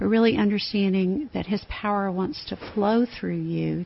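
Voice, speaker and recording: At medium pitch and a moderate pace, a woman speaks in a somewhat breathy voice whose pitch varies in an ordinary way. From Tennessee. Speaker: campus ministry staff. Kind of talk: radio interview. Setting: studio.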